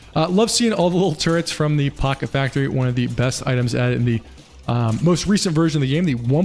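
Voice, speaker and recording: With music in the background, a man with an American accent speaks at a very fast pace, his fairly high voice showing lively intonation and very even loudness. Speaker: gaming YouTuber. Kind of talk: gameplay commentary. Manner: casual, joking.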